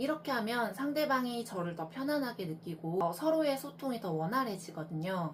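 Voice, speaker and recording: Somewhat breathy and fairly high-pitched, a woman talks at a moderate pace with very wide pitch swings. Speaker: traditional clothing dyer and maker. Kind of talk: talk giving advice.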